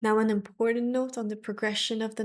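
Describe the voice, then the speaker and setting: In a very clean recording with a silent background, a woman speaks at a fairly high pitch in a monotone, flat intonation. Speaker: Vedic astrologer. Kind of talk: astrology forecast talk to camera. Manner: slow.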